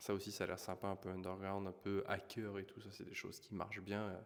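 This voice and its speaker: A soft-spoken man with a fairly low pitch talks at a moderate pace. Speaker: YouTube trends commentator. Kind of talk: casual vlog commentary. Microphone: poor sound quality.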